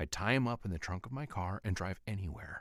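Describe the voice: Straightforward reading aloud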